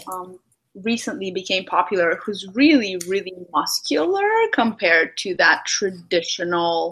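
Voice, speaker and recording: A woman's bright, sharp voice at medium pitch, with a non-native accent and a fairly slow pace. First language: not English. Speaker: podcast host. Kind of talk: casual interview.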